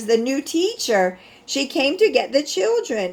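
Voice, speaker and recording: Putting on a high character voice, a woman speaks at a fairly slow pace with very wide pitch swings. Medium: read story.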